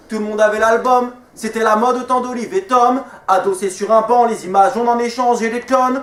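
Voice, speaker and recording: Over noticeable background noise, a man speaks at a moderate pace in an extremely high pitch. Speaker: slam poet. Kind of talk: slam poetry performance. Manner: rhythmic, flowing.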